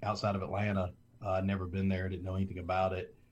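A man's fairly low-pitched voice is heard against a quiet background. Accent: Southern US. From US South (South Alabama). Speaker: former football coach, school administrator. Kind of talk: interview. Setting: video call.

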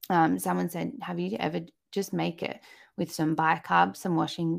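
Moderate-paced speech from a woman with an Australian accent. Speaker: motherhood coach and podcaster. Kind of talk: casual interview chat. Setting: video call.

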